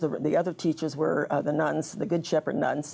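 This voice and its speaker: This woman has a very deep, low pitch and a dark, mellow tone with vocal fry. She speaks at a moderate pace with fairly even intonation. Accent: American. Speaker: local elder, retired teacher. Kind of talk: interview. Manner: halting.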